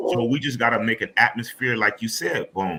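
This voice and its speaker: At a fairly quick pace and medium pitch, a man talks over noticeable background noise. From Los Angeles, California. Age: 50s. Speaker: motorcycle club president. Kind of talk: panel discussion. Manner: animated.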